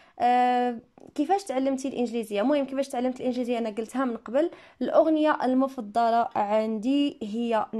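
With a dark, mellow tone, a woman speaks high in pitch at a moderate pace with ordinary pitch variation, on a very clean recording with a silent background. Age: 20s. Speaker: English teacher and YouTuber. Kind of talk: Q&A video monologue. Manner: casual, conversational.

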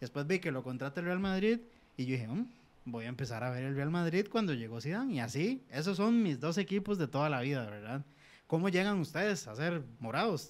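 A man speaks at a fairly quick pace. His fairly high pitch swings very widely. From Costa Rica. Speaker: podcast host. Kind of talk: casual chat. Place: studio. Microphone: studio mic.

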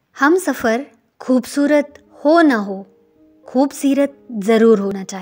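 Over music in the background, a woman talks in a high pitch with lively intonation and big swings in loudness. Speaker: writer and narrator. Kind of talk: spoken-word relationship advice narration.

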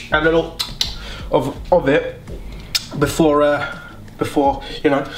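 Background noise is clearly noticeable. Through it, a man talks. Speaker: vlogger. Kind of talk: casual vlog chat. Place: home room. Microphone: phone near.

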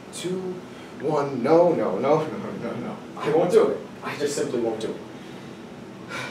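There is audible room echo and noticeable background noise as a man speaks at a very slow pace. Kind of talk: dramatic monologue performance. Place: classroom. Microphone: camera far.

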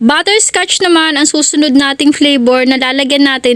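Ordinary pitch variation marks a woman's animated tone. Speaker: home baker and vlogger. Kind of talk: cooking vlog narration. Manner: chatty, animated.

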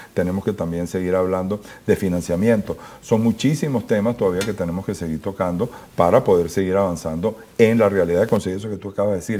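A man's dark, mellow, fairly low voice at a very fast pace. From Venezuela. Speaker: business association president; guest. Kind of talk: interview. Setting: studio. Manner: halting, many repeated words. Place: studio.

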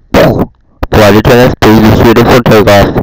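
A man puts on a character voice at a medium pitch and a fairly slow pace. The sound is dry and close, with no echo.

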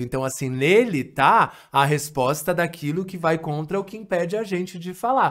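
Lively intonation carries the speech over a quiet background. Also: man. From Brazil, São Paulo city. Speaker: missionary and language trainer; podcast guest. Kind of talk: podcast interview; interview answer. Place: home room. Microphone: studio mic.

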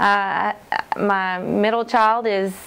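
Her intonation fairly even, a woman speaks. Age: 30s. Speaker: personal trainer and brand ambassador. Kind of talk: testimonial. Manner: halting, many fillers. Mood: warm, upbeat.

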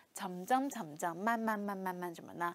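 A woman speaking at a moderate pace, in a dry sound with no echo. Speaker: Korean language teacher. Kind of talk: lecture. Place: studio. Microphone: lapel.

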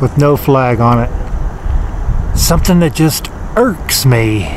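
Noticeable background noise and a dry sound with no echo. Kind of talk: casual vlog commentary. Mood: nostalgic, mildly annoyed. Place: street. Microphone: phone near.

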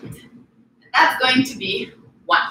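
A woman uses a raised, projected voice at a fairly slow pace. Audible room echo and light background noise come through. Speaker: fitness coach. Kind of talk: workout tutorial. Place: garage. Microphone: camera far.

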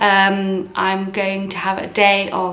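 Audible room echo surrounds the female speaker. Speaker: vlogger. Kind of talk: casual vlog chat. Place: kitchen. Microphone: phone near.

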